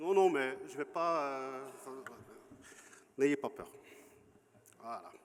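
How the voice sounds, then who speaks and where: A man with a Flemish accent and a fairly high pitch, at a very slow pace with long, frequent pauses, fairly even intonation and big swings in loudness. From Flanders, Belgium. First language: Flemish (Dutch) (speaking French). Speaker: historian and museum curator. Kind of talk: conference lecture. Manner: searching for words at times.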